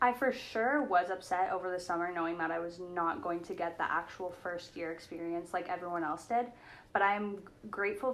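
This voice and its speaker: In a normal speaking voice, a woman talks at a fairly quick pace and medium pitch with ordinary pitch variation. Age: 18. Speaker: university student. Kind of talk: casual chat.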